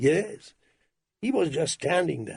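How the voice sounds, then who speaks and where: Putting on a character voice, a man sounds raspy and pitched high. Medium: read story. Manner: polite, careful.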